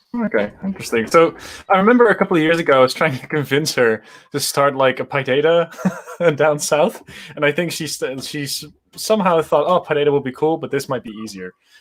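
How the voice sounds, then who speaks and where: A man speaks at a very fast pace in a fairly high voice. His intonation is lively, and his loudness swings widely. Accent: Dutch. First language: Dutch. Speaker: conference speaker. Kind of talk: casual chat. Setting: online live stream.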